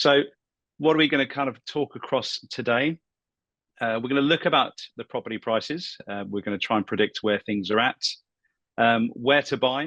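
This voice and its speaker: Bright, sharp voice with a British accent and ordinary pitch variation, long, frequent pauses, dry and close with no echo against a quiet background. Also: man, medium pitch for a man, moderate pace. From UK. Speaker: property buyer's agent. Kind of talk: professional webinar presentation.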